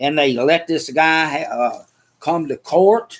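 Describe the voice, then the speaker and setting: With a Southern US accent, a man speaks at a very slow pace and a fairly high pitch, with ordinary pitch variation. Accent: Southern US (Georgia). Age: 70s. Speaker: podcast host. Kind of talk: casual chat. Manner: animated.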